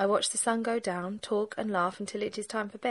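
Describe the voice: Just plain reading aloud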